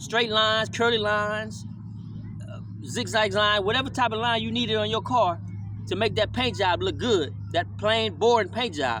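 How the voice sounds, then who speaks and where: Someone with an American accent talks at a moderate pace, with audible room echo. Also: man. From California, Louisiana Creole family. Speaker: vlogger. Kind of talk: casual motivational monologue. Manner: laid-back, conversational.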